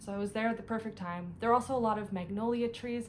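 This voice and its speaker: A woman's somewhat breathy voice varies in pitch in an ordinary way. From Canada, Ottawa. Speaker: cross-stitch vlogger. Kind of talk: casual vlog haul. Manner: fast; animated.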